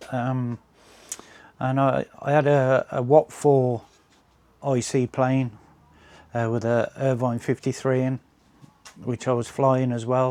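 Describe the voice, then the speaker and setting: A man with a West Midlands accent speaks at a very slow pace in a medium-pitched, dark, mellow voice with monotone, flat intonation and long, frequent pauses, in a dry, close recording with no echo. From English West Midlands. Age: 60s. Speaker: RC plane hobbyist and channel owner. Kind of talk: casual vlog update. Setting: home workshop. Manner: hesitant, many fillers.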